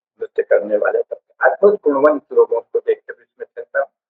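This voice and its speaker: A man's extremely high-pitched voice. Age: 80s+. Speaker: professor and political commentator. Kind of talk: lecture. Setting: live stream.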